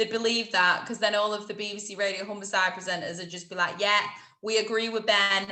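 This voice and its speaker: With a Lincolnshire accent, a woman speaks in a medium pitch and a bright, sharp tone, with audible room echo. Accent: Grimsby. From Grimsby, northern England. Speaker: radio presenter. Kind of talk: casual interview chat. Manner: animated.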